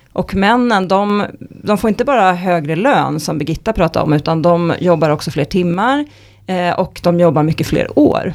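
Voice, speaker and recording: Here is a woman with an unremarkable speaking voice, fairly low in pitch. She speaks at a moderate pace with lively intonation. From Stockholm, Sweden. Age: 40s. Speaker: economist. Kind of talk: podcast interview.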